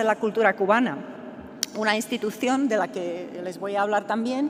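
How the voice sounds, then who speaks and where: A woman speaks with a Czech accent at a fairly high pitch. Noticeable background noise can be heard. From Czechoslovakia (Czech Republic). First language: Czech (speaking Spanish). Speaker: professor. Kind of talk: conference talk. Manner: halting, many fillers and repetitions.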